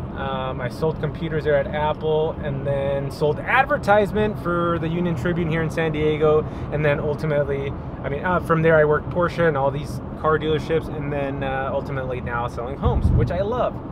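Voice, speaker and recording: A man talks at a fairly quick pace. The sound is dry with no echo, though noticeable background noise is present. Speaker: real estate agent vlogger. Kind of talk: casual vlog chat. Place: car. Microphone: phone near.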